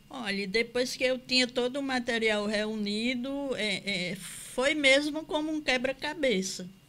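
Her voice is high-pitched, with a bright, sharp tone. The woman speaks at a fairly slow pace with ordinary pitch variation. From Campina Grande, Paraíba, Brazil. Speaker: author and cultural producer. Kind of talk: interview. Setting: studio.

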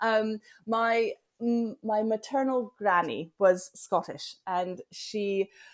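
A woman with a slight American accent and a fairly high pitch speaks at a very slow pace in a dry, close sound with no echo. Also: ordinary pitch variation, very clean recording, silent background. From US, Denver, Colorado. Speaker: farmer. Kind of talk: interview. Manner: halting.

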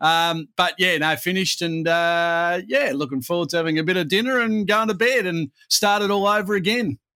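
A high-pitched man speaks with an Australian accent in a bright, sharp tone at a moderate pace, with hardly any pauses. His pitch varies in an ordinary way on a very clean recording with a silent background. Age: 40s. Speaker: sports commentator. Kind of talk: casual chat.

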